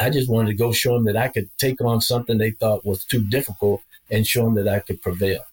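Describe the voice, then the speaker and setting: A man's medium-pitched, somewhat breathy voice, very fast, with fairly even intonation, very even loudness and a dry, close sound with no echo. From Arkansas. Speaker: retired senior military leader. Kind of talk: interview conversation.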